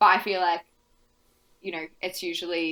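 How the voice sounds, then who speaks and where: Mumbled speech with a bright, sharp tone. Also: woman. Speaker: tabletop role-playing podcast guest player. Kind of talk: casual chat. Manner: fast; mumbling.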